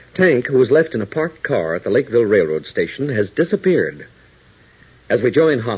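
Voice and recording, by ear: A man's voice swings widely in pitch, with a husky, rough edge. The tone is slightly mellow.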